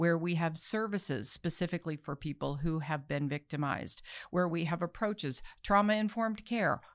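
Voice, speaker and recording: This is a normal speaking voice with an American accent. Its pitch varies in an ordinary way. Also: woman, very clean recording, silent background. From Baltimore, US. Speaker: anti-trafficking nonprofit leader. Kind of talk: interview conversation.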